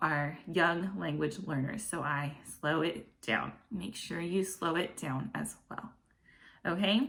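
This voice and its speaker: A woman's fairly low voice with vocal fry and an American accent at a very slow pace, with audible room echo. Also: lively intonation. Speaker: online English teacher. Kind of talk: tutorial. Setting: home classroom set. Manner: animated.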